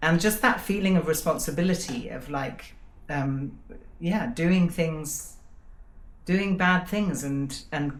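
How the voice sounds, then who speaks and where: With audible room echo around her, a woman with an English accent speaks fairly slowly at fairly low pitch, somewhat breathy, with lively intonation. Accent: perfect RP. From England. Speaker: podcast co-host. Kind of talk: casual chat.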